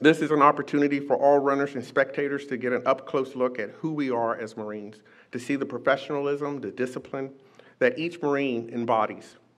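A man at a fairly quick pace, with fairly even intonation. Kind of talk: public speech. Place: hall. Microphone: podium.

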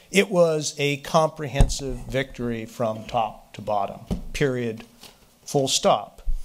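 Over light background noise, a man speaks at a very slow pace with big swings in loudness. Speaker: political scientist; speaker. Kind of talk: panel talk. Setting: stage with audience. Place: hall. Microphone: podium.

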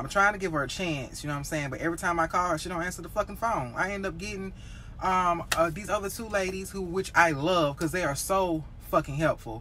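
A woman at a very fast pace, with music in the background. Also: fairly low pitch for a woman, ordinary pitch variation. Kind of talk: casual vlog chat. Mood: frustrated venting. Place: car. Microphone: phone near.

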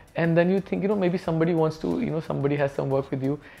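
Faint music sits in the background. Over it, a man's words come very fast. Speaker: interviewee. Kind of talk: interview answer. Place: home room. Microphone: lapel.

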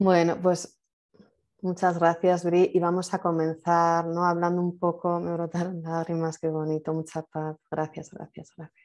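A woman speaks in a flat monotone at a fairly slow pace and fairly low pitch, her loudness swinging a lot. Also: quiet background. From Spain. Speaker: event host. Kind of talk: casual interview. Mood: warm, moved, smiling. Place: home room. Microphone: video call.

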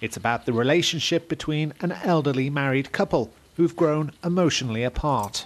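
Fairly high in pitch with ordinary pitch variation, a man talks at a fairly quick pace in an unremarkable speaking voice. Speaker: TV news reporter. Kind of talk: TV news report.

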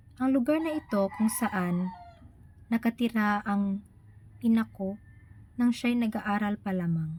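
A fairly high-pitched woman at a fairly slow pace, with long, frequent pauses over noticeable background noise. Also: ordinary pitch variation. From Philippines, Bohol. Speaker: vlogger. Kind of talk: personal narrative, read aloud. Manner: halting.

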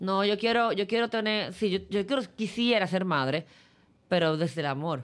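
A woman's lively intonation at a moderate pace. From Dominican Republic. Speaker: sports journalist. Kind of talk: casual interview. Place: studio. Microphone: studio mic.

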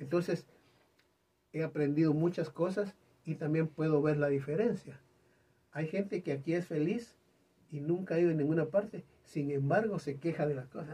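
The pace is moderate and the pitch varies in an ordinary way. Long pauses come often. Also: man. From Guatemala. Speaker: singer; host or guest of a talk show. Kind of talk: interview chat. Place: studio.

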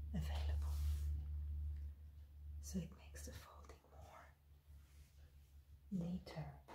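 In a room with audible echo and light background noise, a woman talks at a very slow pace in a very deep, low pitch. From France. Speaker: ASMR content creator. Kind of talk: ASMR folding tutorial.

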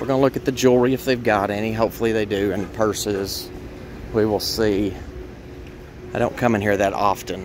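Over noticeable background noise, a man speaks at a fairly quick pace and fairly low pitch with fairly even intonation, the sound dry with no echo. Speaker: thrift reseller vlogger. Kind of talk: casual vlog chat. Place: street. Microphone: phone near.

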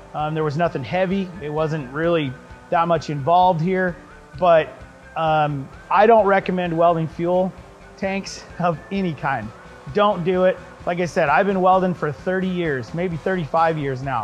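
Moderate pacing with faint music in the background. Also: man, high pitch for a man, ordinary pitch variation. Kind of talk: casual tutorial talk to camera. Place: workshop.

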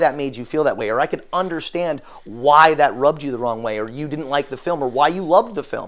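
The man's intonation is lively, and the background stays quiet. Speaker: therapist or coach. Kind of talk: lecture. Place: empty room.

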